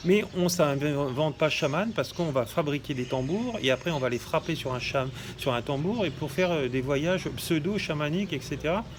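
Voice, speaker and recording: A man's fairly high voice at a moderate pace, ordinary pitch variation, with noticeable background noise. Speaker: shamanism teacher and healer. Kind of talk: monologue video talk. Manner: hesitant, many fillers.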